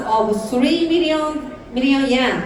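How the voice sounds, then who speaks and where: A woman with a Japanese accent speaks in a high pitch with lively intonation, amid noticeable background noise and audible room echo. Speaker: network marketing entrepreneur. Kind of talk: motivational speech. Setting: stage with audience. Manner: careful, deliberate English.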